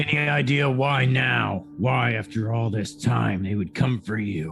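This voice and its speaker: A man uses a raspy, put-on character voice at a medium pitch and fairly slow pace. Clear music plays in the background. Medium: actual play. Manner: probing, deliberate.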